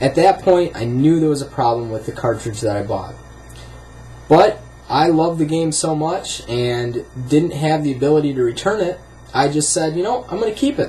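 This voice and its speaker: With music in the background, a man with a fairly high pitch speaks at a moderate pace. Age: 20s. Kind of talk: casual talk to camera.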